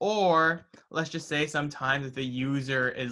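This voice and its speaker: Here a man with an American accent speaks at a fairly high pitch, his tone bright and sharp. He goes at a fairly slow pace. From New Jersey, US. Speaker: student club officer teaching coding. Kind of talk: tutorial.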